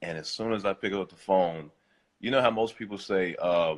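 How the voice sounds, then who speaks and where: A man speaks at a fairly low pitch with ordinary pitch variation. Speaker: real estate wholesaler. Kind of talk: casual chat.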